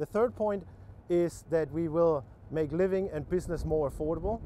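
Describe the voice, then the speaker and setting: Speaking at a moderate pace in a German accent, a man has a fairly high pitch and a dark, mellow tone. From Germany. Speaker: political candidate. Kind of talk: interview. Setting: TV news interview. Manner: unrehearsed, halting with many repetitions.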